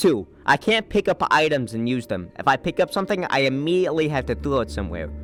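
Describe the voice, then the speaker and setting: With music in the background, a man speaks at a fairly quick pace and his pitch swings very widely. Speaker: gaming YouTuber. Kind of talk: comedic gameplay commentary narration.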